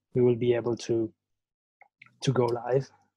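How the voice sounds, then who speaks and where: A man's somewhat breathy, medium-pitched voice with a dark, mellow tone, at a moderate pace. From Italy. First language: Italian. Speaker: band singer and guitarist. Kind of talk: casual interview. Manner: halting.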